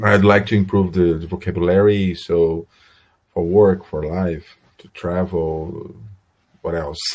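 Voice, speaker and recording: A man with a Brazilian Portuguese accent speaks at a very deep, low pitch. His intonation is monotone and flat, with long, frequent pauses. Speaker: English learner. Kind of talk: online English lesson conversation. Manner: halting, many hesitations and repeats.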